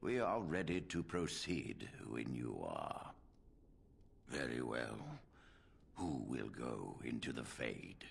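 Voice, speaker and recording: A raspy, put-on character voice moves at a fairly slow pace with long, frequent pauses. Background noise is clearly heard. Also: man, very deep, low pitch for a man. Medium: video game. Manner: formal, measured.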